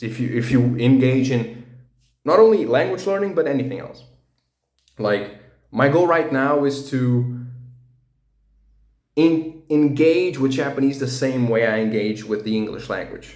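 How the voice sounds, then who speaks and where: A man speaks in a medium pitch with ordinary pitch variation and long, frequent pauses. Audible room echo is present. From Portugal. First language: Portuguese. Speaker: language learning vlogger. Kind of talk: casual personal monologue. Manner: halting, many fillers and restarts.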